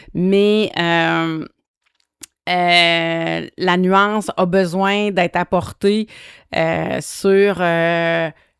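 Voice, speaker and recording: Here a woman talks at a very slow pace with a fairly low pitch and monotone, flat intonation. Long, frequent pauses break up her speech, recorded dry and close with no echo. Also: very clean recording, silent background. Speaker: podcast host. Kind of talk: solo monologue podcast. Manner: hesitant, many fillers.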